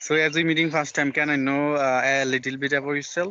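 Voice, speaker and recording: The speaker has a Bengali accent. The intonation stays fairly even. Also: man. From Bangladesh. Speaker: English learner, channel host. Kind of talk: casual chat. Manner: halting.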